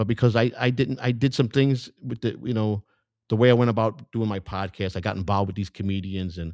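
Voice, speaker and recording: With a Chicago accent, a man speaks at a fairly quick pace with a fairly low pitch and ordinary pitch variation, in a dry, close sound with no echo on a very clean recording with a silent background. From US Midwest, Chicago. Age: 60s. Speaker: independent political candidate. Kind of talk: campaign speech. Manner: animated; halting, repetitive.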